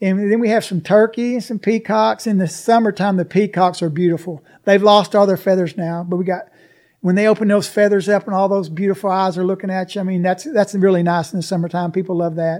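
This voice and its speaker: A high-pitched man with an Arkansas accent, fairly even intonation and a fairly quick pace, on a very clean recording with a silent background. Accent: Southern US (Arkansas). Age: 60s. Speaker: alligator farm operator. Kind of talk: interview.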